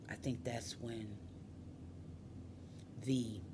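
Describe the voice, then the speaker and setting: Amid noticeable background noise, a woman with an American accent speaks in a very deep, low pitch with fairly even intonation. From Detroit. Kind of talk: personal testimony talk to camera.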